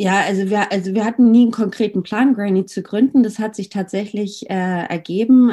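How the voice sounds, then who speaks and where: With ordinary pitch variation and a fairly quick pace, this is an ordinary speaking voice. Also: woman. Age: 30s. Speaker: marketing agency co-founder. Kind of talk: interview.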